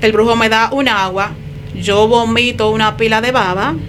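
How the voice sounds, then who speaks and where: Over noticeable background noise, a woman with a fairly high pitch speaks at a fairly slow pace and with fairly even intonation. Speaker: ex-occultist giving testimony. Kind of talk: testimony.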